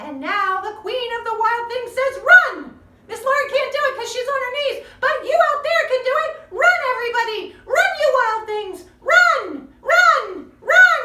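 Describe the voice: A woman does a put-on character voice at an extremely high pitch with a bright, sharp tone. Her intonation is lively, and her pace is fairly slow.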